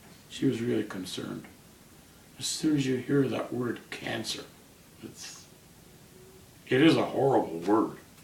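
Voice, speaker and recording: With audible room echo, a man talks fairly slowly, pausing long and often. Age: 70s. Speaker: cancer patient. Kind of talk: interview.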